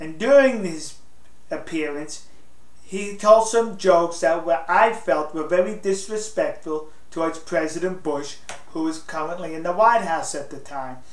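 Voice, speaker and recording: Audible room echo surrounds a man speaking at a moderate pace. His voice is high, with ordinary pitch variation. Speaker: political commentator. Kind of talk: casual opinion talk to camera. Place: home room.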